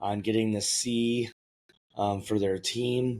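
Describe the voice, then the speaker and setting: The man talks at a fairly slow pace in a medium pitch, with monotone, flat intonation. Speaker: podcast host. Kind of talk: casual monologue. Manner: hesitant with frequent fillers.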